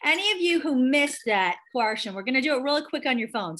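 Bright and sharp in tone, a woman's voice is raised and projected. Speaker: online class instructor. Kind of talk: tutorial. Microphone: video call.

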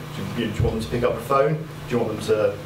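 This man talks very fast, his intonation fairly even, with noticeable background noise behind him. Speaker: presenter. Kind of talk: lecture. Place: classroom. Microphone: camera far.

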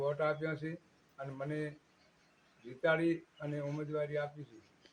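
A man talks in a fairly high pitch with a somewhat breathy quality. His intonation is monotone and flat. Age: 70s. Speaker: village head. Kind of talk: interview statement.

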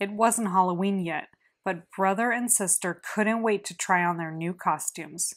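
Quiet background, natural reading voice, and ordinary pitch variation

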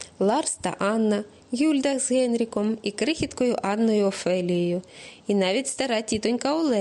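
Reading done in a natural voice

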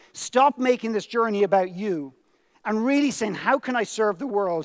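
A man with a high voice and an Irish accent speaks with lively intonation. The background is quiet. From Ireland. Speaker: motivational speaker. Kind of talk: keynote speech. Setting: stage with audience. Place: stage. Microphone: headset.

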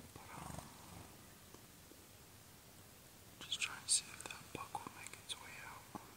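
A man whispering at a fairly slow pace. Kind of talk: casual vlog chat. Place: open country. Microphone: phone near.

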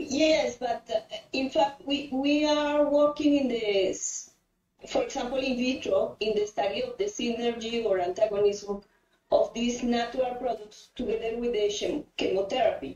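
A high-pitched woman speaks with a Spanish accent at a fairly slow pace. Her pitch variation is ordinary. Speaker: cancer phytomedicine researcher. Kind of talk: audience Q&A question. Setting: online call.

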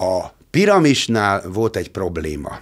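A man's voice against a quiet background. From Hungary. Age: 60s. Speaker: musician; podcast guest. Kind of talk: casual chat. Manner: halting. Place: studio. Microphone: studio mic.

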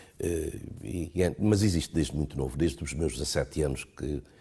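The voice has a dark, mellow tone with vocal fry. The background is quiet. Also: man. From Guinea-Bissau. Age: 60s. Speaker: government minister. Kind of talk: interview. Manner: halting; formal. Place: home room. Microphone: lapel.

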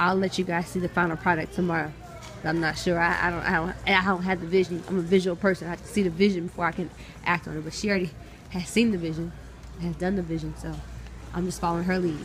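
A woman speaks at a very fast pace with a fairly low pitch. Her intonation is monotone and flat, with light background noise. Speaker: vlogger. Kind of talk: casual vlog chat. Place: shop. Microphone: phone near.

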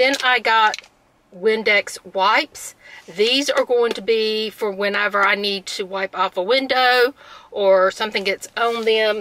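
A woman speaks at a fairly slow pace. The sound is dry with no echo, over light background noise. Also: fairly even intonation. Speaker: vlogger. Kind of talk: casual vlog chat. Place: car. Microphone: phone near.

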